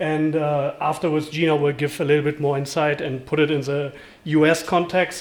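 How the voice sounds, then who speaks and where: Speaking in a German accent, a man has a fairly high pitch. His intonation stays monotone and flat. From Germany. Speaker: event host, board treasurer. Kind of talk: event presentation. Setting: live event with audience. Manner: many filler words and hesitations.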